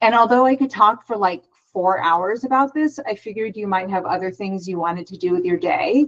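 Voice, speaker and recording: A woman talks with lively intonation. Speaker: psychologist. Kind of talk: webinar presentation. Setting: online webinar. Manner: fast.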